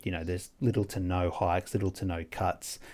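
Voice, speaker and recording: On a very clean recording with a silent background, a man talks fairly quickly in an Australian accent. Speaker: trader and podcast host. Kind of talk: casual chat. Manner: hesitant, many fillers.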